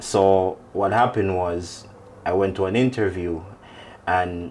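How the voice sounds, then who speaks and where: A man is speaking. Background noise is clearly audible. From Jamaica (Hanover). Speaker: dancehall artist. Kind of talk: interview.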